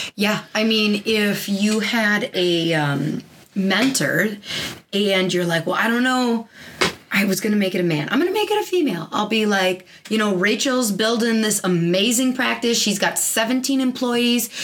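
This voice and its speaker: Against noticeable background noise, a woman speaks fairly slowly at a fairly high pitch, with ordinary pitch variation and very even loudness. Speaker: chiropractor and podcast host. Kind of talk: casual chat.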